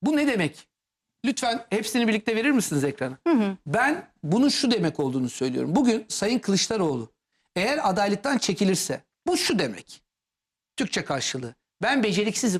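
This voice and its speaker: Using very wide pitch swings, a man speaks at a high pitch and a moderate pace. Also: very even loudness. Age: 40s. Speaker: political commentator. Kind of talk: TV political talk show.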